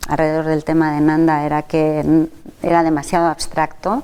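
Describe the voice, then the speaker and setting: With a Catalan accent, a woman speaks in a very deep, low voice with a dark, mellow tone. Her intonation is monotone and flat, at a moderate pace. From Catalonia, Spain. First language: Catalan (speaking Spanish). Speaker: nursing researcher and professor. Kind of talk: interview.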